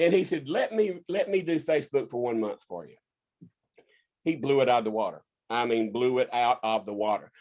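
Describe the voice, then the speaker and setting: Speaking with a Southern US accent at a fairly quick pace, a man shows very wide pitch swings and big swings in loudness. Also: medium pitch for a man. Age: 60s. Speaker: inventor and business owner. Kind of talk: casual interview. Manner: halting, repeats words.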